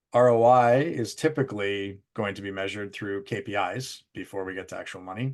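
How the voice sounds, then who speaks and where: A man with a Canadian accent and a fairly low pitch, ordinary pitch variation and a quiet background. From Canada. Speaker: business executive presenting on training impact. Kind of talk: webinar presentation. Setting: live virtual event. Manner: fast.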